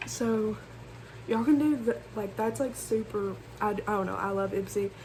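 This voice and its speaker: A woman at a medium pitch, with fairly even intonation and a moderate pace, over noticeable background noise. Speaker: beauty vlogger. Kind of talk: casual makeup tutorial vlog. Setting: bedroom. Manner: loud, talking over fan.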